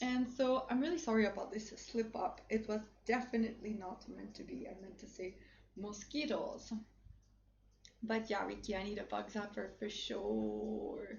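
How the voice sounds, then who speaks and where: A French Canadian accent, big swings in loudness, a moderate pace and audible room echo. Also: woman. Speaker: livestream influencer and model. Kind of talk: livestream shopping chat. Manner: casual, hesitant with fillers.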